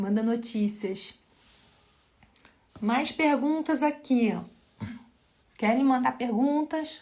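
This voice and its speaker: A woman's high-pitched voice at a very slow pace, broken by long, frequent pauses. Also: ordinary pitch variation. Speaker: physiotherapist teaching live. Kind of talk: live Q&A lecture.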